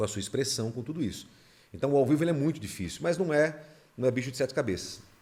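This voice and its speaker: A man's voice sounds somewhat breathy. He talks very quickly, with lively intonation. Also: medium pitch for a man. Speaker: radio announcer. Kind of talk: casual chat.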